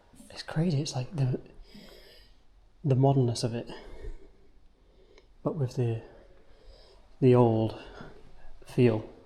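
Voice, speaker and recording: His dark, mellow, somewhat breathy voice sits at medium pitch, with big swings in loudness and long, frequent pauses as the man speaks. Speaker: street photography vlogger. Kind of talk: casual vlog narration while walking. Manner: animated.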